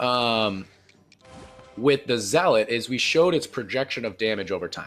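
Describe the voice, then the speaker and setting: A man's voice swings very widely in pitch. Music plays in the background. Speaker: gaming youtuber. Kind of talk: gameplay commentary. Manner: fast; animated.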